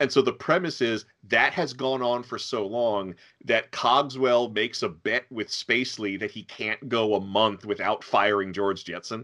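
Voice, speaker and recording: Heard in a very clean recording with a silent background, a man with a plain, everyday voice talks at a moderate pace, his medium pitch showing ordinary variation. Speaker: podcast host. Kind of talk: casual chat.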